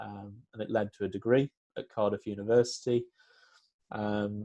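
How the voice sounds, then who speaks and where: A man's dark, mellow tone, fairly low in pitch, with fairly even intonation. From northern England, Lancashire. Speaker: town planner. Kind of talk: interview. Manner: hesitant, many fillers.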